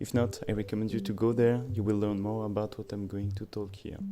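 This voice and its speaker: A man's fairly quick, fairly evenly intoned delivery, with a dark, mellow tone, fairly low pitch and a French accent. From France. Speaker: electronics maker reviewing his own board. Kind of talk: tutorial.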